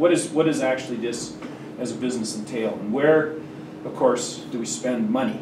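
Noticeable noise sits behind a man who talks rather quickly. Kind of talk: lecture. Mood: relaxed, occasional laughter. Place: classroom.

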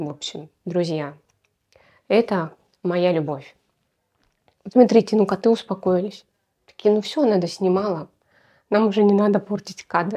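Over a quiet background, a woman speaks in a dark, mellow tone. Her pitch varies in an ordinary way. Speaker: perfume blogger. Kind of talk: casual product review vlog. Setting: home, on camera. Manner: animated. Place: home room. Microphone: lapel.

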